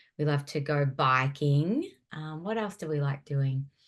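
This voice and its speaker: Against a quiet background, a woman with a very deep, low pitch speaks with a strong Australian accent and ordinary pitch variation. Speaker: former youth pastor. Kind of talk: interview conversation.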